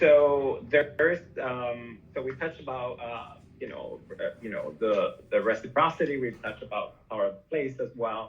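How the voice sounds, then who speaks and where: Speaking with a Spanish accent, a man's voice shows big swings in loudness. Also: moderate pace. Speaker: podcast host / interviewer. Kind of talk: casual interview chat. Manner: halting, many fillers and repetitions.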